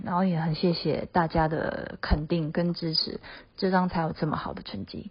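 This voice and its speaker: A woman's somewhat breathy voice at a fairly slow pace. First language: Mandarin Chinese (speaking Japanese). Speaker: singer and producer. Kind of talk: recorded comment message.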